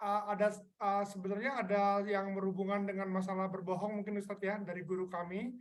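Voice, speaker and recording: Talking at a fairly quick pace in a flat monotone, a woman with a medium-pitched voice is heard with audible room echo. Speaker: session moderator. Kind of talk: Q&A moderation. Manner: halting. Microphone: reported too quiet.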